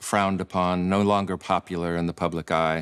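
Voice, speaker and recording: With an American accent, a man speaks at a moderate pace in a very deep, low pitch and a flat, monotone delivery, recorded very cleanly over a silent background. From US Midwest, Michigan. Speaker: podcast host, musician. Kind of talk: casual chat.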